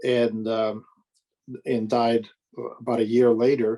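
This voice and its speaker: The speech moves at a fairly slow pace. The sound is dry and close, with no echo. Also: man. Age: 60s. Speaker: professor. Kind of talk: video call discussion. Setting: video call.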